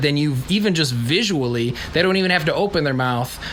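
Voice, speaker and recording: Over noticeable background noise, the speech comes at a very fast pace in an animated tone. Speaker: podcast co-host. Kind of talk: casual chat. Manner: loud.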